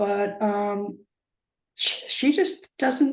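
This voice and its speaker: A woman's somewhat breathy, medium-pitched voice with ordinary pitch variation. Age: 80s+. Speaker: cancer patient. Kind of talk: interview. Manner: halting.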